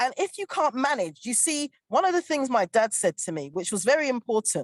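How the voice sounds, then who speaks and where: With a dry, close sound and no echo, a woman speaks high and fairly quickly in an animated, passionate tone, her pitch swinging very widely. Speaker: panel guest on relationship show. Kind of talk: panel discussion. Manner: fast.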